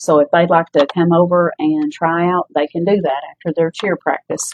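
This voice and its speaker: With an Appalachian accent, a woman talks at a moderate pace in a fairly low pitch and fairly even intonation. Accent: Appalachian US Southern. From Kentucky, Middlesboro. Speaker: volleyball coach and teacher. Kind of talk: casual interview. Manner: loud.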